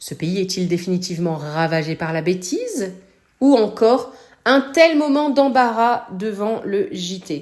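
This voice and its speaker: Delivered very slowly, this voice makes very wide swings in pitch. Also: woman, medium pitch for a woman. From northern France. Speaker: podcast host. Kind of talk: podcast commentary. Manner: casual, hesitant fillers.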